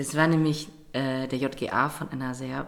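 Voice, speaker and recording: A woman talking very slowly, with ordinary variation in pitch. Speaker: theatre podcast co-host. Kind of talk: casual chat.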